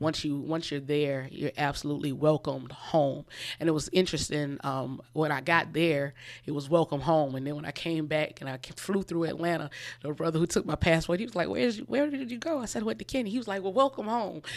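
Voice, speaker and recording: In a Southern US accent, a woman with a very deep, low pitch speaks fairly quickly with lively intonation on a very clean recording with a silent background. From South Carolina, US South (Orangeburg). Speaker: author. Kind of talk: radio interview.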